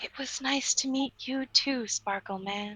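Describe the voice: In a put-on character voice, a breathy, female-sounding speaker talks at a high pitch and a fairly slow pace.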